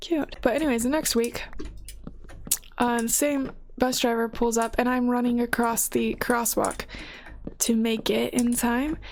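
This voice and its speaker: Mumbling at a moderate pace, a woman talks in a relaxed tone, her high pitch kept in fairly even intonation. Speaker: gaming content creator. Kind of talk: casual chat. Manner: casual, relaxed.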